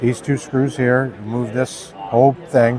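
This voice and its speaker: At a fairly slow pace and a medium pitch, a man talks with an American accent over noticeable background noise. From New Hampshire, US. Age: 60s. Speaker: product maker, company owner. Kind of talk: product demonstration. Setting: trade show booth.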